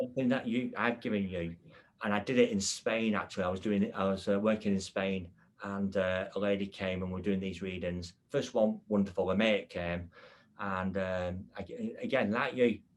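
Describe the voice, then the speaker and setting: This man has an English accent and a fairly low pitch. He keeps a moderate pace and fairly even intonation over a quiet background. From England. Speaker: podcast host and medium. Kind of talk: casual chat.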